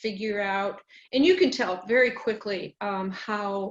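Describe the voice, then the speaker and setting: A woman with an American accent speaks at a fairly slow pace in a fairly high voice against a quiet background. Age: 60s. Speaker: state senator. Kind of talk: panel discussion. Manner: halting.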